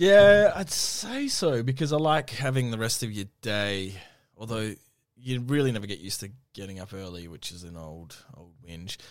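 Speaking at a moderate pace with an Australian accent, this voice has lively intonation and big swings in loudness, captured on a very clean recording with a silent background. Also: man, medium pitch for a man. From Western Australia, Perth. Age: 30s. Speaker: radio host. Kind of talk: casual chat.

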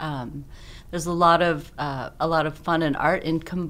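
A woman with a plain, everyday voice speaks at a fairly low pitch with fairly even intonation. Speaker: coffee buyer. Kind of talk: interview chat.

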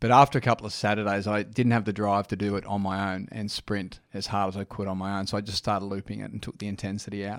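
Very fast, flat, monotone delivery in an Australian accent, with hardly any pauses, a dry, close sound free of echo, and a very clean recording over a silent background. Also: man, fairly low pitch for a man. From Sydney, eastern suburbs. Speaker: run club founder. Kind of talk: casual interview.

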